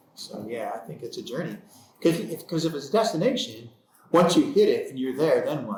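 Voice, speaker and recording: Talking fairly quickly with an American accent, the speaker is heard over noticeable background noise. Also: man. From United States. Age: 60s. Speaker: podcast co-host, business owner. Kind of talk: casual podcast conversation.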